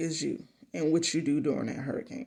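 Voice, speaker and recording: The delivery has an animated tone. It moves at a moderate pace. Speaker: motivational speaker. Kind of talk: motivational monologue.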